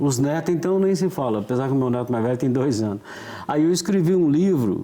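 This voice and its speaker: A man with a fairly high voice talks fairly quickly as noticeable background noise plays. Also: very even loudness. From Minas Gerais, Brazil (Florestal). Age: 60s. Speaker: author. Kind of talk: casual interview.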